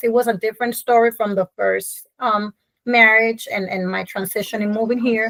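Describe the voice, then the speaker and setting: A woman speaks with a fairly high pitch, fairly even intonation and a moderate pace. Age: 40s. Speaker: podcast guest, entrepreneur. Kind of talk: interview, personal story. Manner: hesitant, many fillers.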